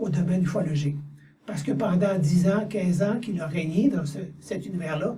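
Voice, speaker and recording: Room echo surrounds a high-voiced man speaking at a fairly slow pace. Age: 60s. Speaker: channeling medium. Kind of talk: interview. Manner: halting.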